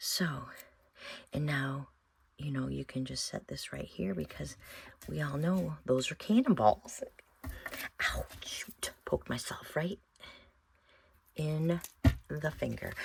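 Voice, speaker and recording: Mumbling at a very slow pace, a woman speaks with long, frequent pauses. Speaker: craft video maker. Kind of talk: tutorial. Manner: thinking out loud.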